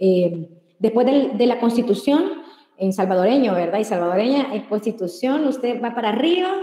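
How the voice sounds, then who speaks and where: A woman's high voice with a dark, mellow tone, ordinary pitch variation and a fairly quick pace. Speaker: public information commissioner. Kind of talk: webinar presentation. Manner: fast.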